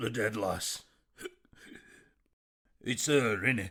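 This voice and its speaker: A man puts on a character voice, medium in pitch. It sounds raspy. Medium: audio drama.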